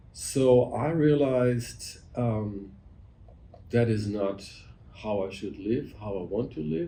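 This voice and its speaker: A man with a German accent speaks very slowly, leaving long, frequent pauses, at a fairly low pitch. His dark, mellow tone is somewhat breathy, and audible room echo surrounds it. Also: ordinary pitch variation. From Germany. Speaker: physician. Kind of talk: interview conversation. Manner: halting.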